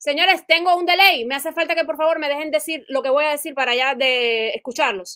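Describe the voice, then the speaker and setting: Raising and projecting her voice, a woman speaks at a high pitch in a bright, sharp tone, at a fairly quick pace with hardly any pauses and ordinary pitch variation. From Cuba. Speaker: live-stream participant. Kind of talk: heated debate.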